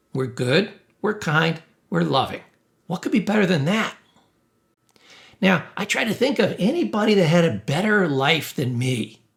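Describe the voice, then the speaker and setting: A man's high voice with very wide pitch swings, a moderate pace and long, frequent pauses. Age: 60s. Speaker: therapist and mental health teacher. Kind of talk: casual self-help talk to camera. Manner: animated.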